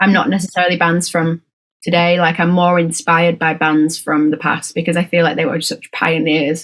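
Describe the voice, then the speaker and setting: Speaking with a British accent, a woman has a fairly low voice. Her intonation is monotone and flat, at a moderate pace. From Britain. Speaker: rock band musician. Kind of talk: band interview. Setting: home bedroom studio.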